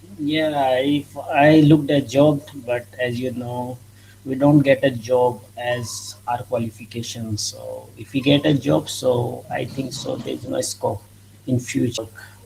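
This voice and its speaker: A man with an Indian accent at medium pitch, fairly slow pace and fairly even intonation, against noticeable background noise. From northwest India. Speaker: English learner. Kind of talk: casual conversation practice. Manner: halting.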